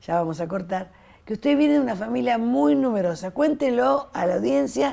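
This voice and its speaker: A woman speaks at a moderate pace in a medium pitch with a dark, mellow tone, her pitch swinging very widely while her loudness stays very even. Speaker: TV host and teacher. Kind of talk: interview.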